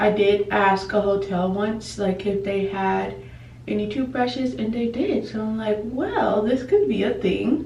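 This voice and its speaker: Noticeable background noise and audible room echo surround a woman who speaks fairly slowly in a fairly high voice with ordinary pitch variation. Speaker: lifestyle vlogger. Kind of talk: casual vlog talk to camera. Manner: slow, paced speech.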